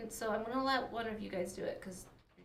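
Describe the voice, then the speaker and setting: A woman talks at a fairly high pitch with ordinary pitch variation. Noticeable background noise runs beneath her. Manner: upbeat.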